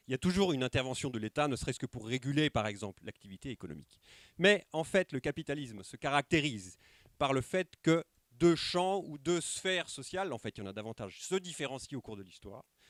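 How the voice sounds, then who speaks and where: A man talks at a fairly quick pace, his pitch swinging very widely. The sound is dry and close with no echo, and the recording is very clean over a silent background. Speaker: sociologist giving a conference talk. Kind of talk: lecture. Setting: conference room with live audience, microphone. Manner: fast at times; hesitant, many filler sounds.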